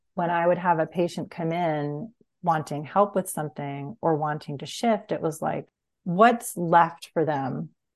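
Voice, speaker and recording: In an American accent, a woman with a plain, everyday voice speaks fairly low and at a fairly slow pace with ordinary pitch variation. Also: quiet background. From US Northeast, Long Island. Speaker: psychotherapist and human design reader. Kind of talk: casual interview conversation.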